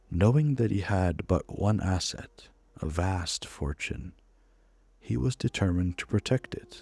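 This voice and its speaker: Soft-spoken and calm, a man with a very deep, low voice uses a soothing tone and very wide pitch swings at a fairly slow pace, sounding dry and close with no echo over music in the background. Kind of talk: reading an in-game book aloud as a story. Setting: recorded as gameplay commentary over a game. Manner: soft-spoken, calm, soothing.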